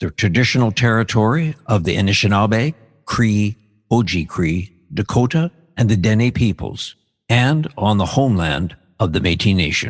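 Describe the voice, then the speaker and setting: An ordinary speaking voice with lively intonation, a moderate pace and a quiet background. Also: man, fairly low pitch for a man. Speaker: podcast host. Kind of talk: land acknowledgement read.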